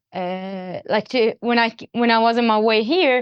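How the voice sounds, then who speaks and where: Her voice fairly high in pitch, a woman speaks with an Arabic accent. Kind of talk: interview testimony.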